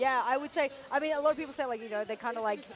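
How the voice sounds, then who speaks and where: A woman with an Australian accent speaks in a high pitch and an animated tone at a very fast pace. Noticeable background noise is audible. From Asia-Pacific. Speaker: esports commentator. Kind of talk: live commentary; casual chat.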